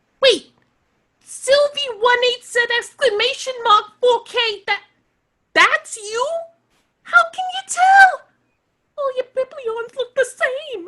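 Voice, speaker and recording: A put-on character voice, squeaky and extremely high in pitch, moves at a fairly slow pace. Long pauses come frequently. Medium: audio drama. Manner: brusque, impatient.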